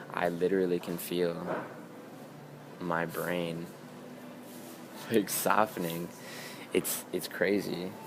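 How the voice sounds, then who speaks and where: A man's very deep, low voice at a very slow pace, monotone and flat, with long, frequent pauses amid noticeable background noise. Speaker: beauty and wellness vlogger. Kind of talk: casual vlog monologue. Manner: halting with many repetitions and fillers.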